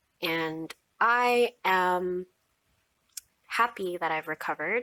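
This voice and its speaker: With an American accent, a woman speaks at a very slow pace in a bright, sharp tone of medium pitch with ordinary pitch variation. The sound is dry and close, without echo. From US, Filipino American. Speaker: mental health vlogger. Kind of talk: personal testimony vlog.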